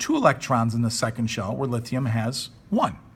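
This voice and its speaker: A man speaks with a somewhat breathy voice. His pace is fairly quick. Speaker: high school chemistry teacher. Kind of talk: recorded classroom lesson. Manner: fast; casual.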